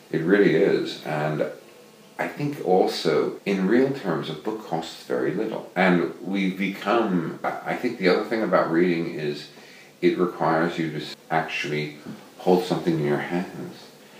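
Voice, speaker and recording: Amid noticeable background noise and audible room echo, a man with an American accent speaks at a fairly slow pace in a very deep, low pitch with ordinary pitch variation. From New York City, US. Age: 60s. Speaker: novelist. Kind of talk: interview conversation. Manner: halting, repeats words.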